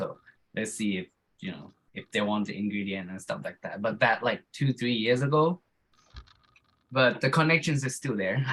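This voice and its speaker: A man with a medium pitch, lively intonation, moderate pace and long, frequent pauses. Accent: non-native. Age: 30s. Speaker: warehouse lead hand, men's group participant. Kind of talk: casual self-introduction in group video chat. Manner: halting, repeats words.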